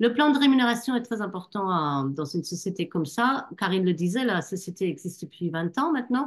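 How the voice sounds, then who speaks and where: In a quiet background, a woman at medium pitch with a slight German accent talks at a fairly quick pace, her pitch swinging very widely and hardly pausing. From Germany. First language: German (speaking French). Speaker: network marketing distributor. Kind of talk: online business presentation. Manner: hesitant, many fillers.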